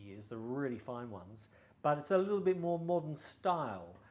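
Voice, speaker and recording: This man's voice is fairly high, with very wide pitch swings. He talks at a fairly quick pace. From Australia. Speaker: violin and bow dealer. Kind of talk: product showcase. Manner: casual, hesitant with fillers.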